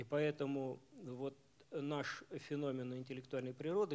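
A man speaks at a fairly slow pace. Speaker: professor and club moderator; club moderator. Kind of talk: lecture. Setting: bookstore stage with audience. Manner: halting, many fillers. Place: hall. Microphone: podium.

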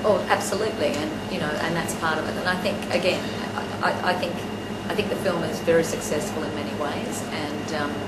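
Loud background noise sits behind the recording. A woman talks over it at a fairly quick pace. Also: ordinary pitch variation. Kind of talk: interview answer. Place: office.

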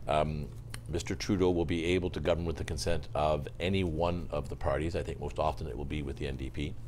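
A man's very deep, low voice with vocal fry at a fairly quick pace, over light background noise. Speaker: journalist. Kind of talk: panel discussion. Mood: measured, analytical. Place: studio. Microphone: lapel.

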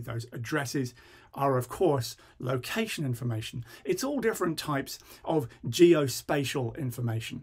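Over a quiet background, a man speaks with lively intonation and a somewhat breathy voice. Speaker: presenter. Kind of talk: tutorial.

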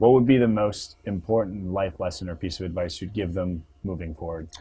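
A man with a Canadian accent speaks at a fairly quick pace in a fairly low, somewhat breathy voice with ordinary pitch variation. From Canadian East Coast. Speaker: interviewer. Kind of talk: interview. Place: studio.

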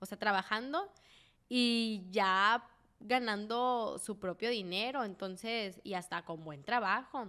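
In a Sinaloan accent, a woman talks very slowly at a fairly high pitch with ordinary pitch variation and a bright, sharp tone, on a very clean recording with a silent background. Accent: Sinaloan Mexican Spanish. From Mexico, Sinaloa (Mazatlán). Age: 20s. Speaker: podcast co-host. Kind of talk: casual chat. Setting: studio.

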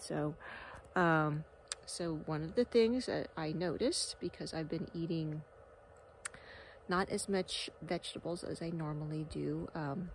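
Light background noise sits behind a woman whose tone is dark and mellow and whose pitch is fairly low. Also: dry sound with no echo. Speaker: wellness vlogger. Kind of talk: casual vlog chat. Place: open country. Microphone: phone near.

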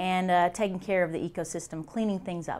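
Her intonation stays fairly even. A woman speaks at a fairly quick pace. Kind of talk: interview answer. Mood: calm, friendly explanation. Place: office. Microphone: lapel.

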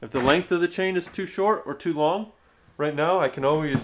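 Noticeable background noise runs under a man talking at a moderate pace. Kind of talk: tutorial. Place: garage. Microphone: phone near.

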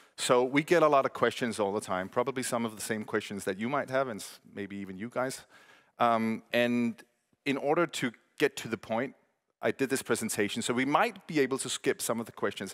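A man speaks at a medium pitch and a fairly quick pace against a quiet background. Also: ordinary pitch variation. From Denmark. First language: Danish. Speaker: podcast company co-founder. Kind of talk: conference presentation. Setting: stage with audience. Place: stage. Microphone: headset.

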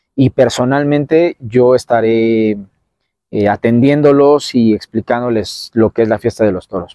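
The speaker keeps a moderate pace with ordinary pitch variation. The sound is dry with no echo, and the background is quiet. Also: man. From Mexico City (Tacubaya); Mexico City. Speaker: bullfighter (banderillero); interviewee. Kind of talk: interview. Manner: halting, many fillers. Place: open country.

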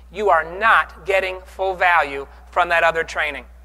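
A man talks at a moderate pace. His tone is bright and sharp. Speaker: keynote speaker. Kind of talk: motivational keynote speech. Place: hall. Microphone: lapel.

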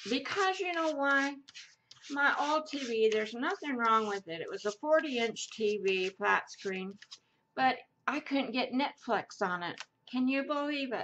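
A woman's high, bright, sharp voice with an American accent, very wide pitch swings, a fairly slow pace, long, frequent pauses and light background noise. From Idaho, US. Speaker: craft YouTuber. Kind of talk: casual crafting tutorial chat. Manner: rambling, hesitant with many fillers. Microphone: camera far.

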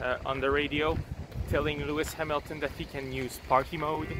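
Fairly even intonation marks this man's speech, which comes with noticeable background noise. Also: dry sound with no echo. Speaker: motorsport vlogger. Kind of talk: casual vlog chat. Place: street. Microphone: earbuds.

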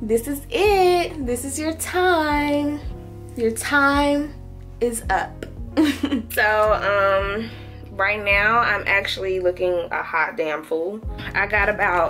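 Over faint music in the background, a woman speaks at a very slow pace. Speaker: expectant mother vlogger. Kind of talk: casual vlog chat. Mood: emotional, anticipating hospital birth. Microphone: phone near.

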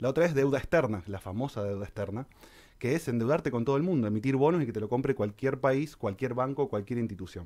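Against a quiet background, a man with a dark, mellow tone and medium pitch talks at a very fast pace with lively intonation. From Argentina. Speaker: financial advisor; guest. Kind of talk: radio interview, explanatory column. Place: studio. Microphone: studio mic.

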